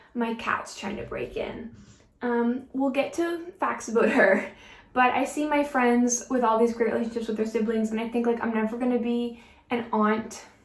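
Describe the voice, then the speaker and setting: At a moderate pace, a woman speaks with a fairly high pitch and fairly even intonation in a room with audible echo. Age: 20s. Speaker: beauty vlogger. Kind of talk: casual chat while doing makeup. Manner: casual with many fillers.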